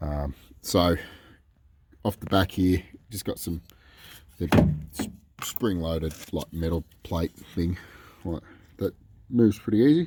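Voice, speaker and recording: A man with an Australian accent, very deep and low in pitch, dark and mellow in tone, with ordinary pitch variation, a fairly slow pace and long, frequent pauses. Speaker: DIY car video maker. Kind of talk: tutorial. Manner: casual.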